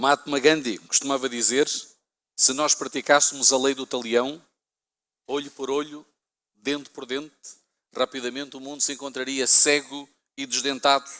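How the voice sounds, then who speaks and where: Speaking in a European Portuguese accent, a man uses a fairly high pitch and a bright, sharp tone. His intonation is monotone and flat, at a moderate pace with long, frequent pauses. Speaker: pastor. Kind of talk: sermon.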